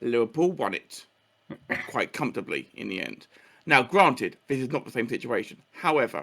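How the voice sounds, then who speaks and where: This man has a medium pitch and a bright, sharp tone with vocal fry. His intonation is lively, and his pace is moderate. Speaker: podcast co-host. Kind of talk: casual chat. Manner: halting.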